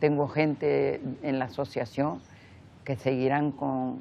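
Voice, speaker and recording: A woman talks very slowly with a very deep, low pitch and vocal fry. She leaves long, frequent pauses. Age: 80s+. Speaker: memory association president, victim's daughter. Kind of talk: interview testimony. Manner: halting.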